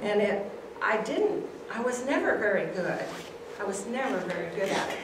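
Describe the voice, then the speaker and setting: A woman talks with an American accent and lively intonation at a moderate pace. Audible room echo and noticeable background noise fill the recording. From Clarkdale, Arizona, USA. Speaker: retired teacher. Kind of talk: oral history presentation. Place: hall. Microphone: camera far.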